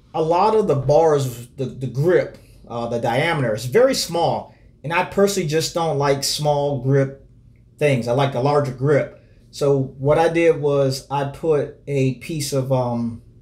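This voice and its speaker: A man speaks fairly slowly in a somewhat breathy voice. His pitch varies in an ordinary way. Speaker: cyclist product reviewer. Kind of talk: casual review chat. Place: home room.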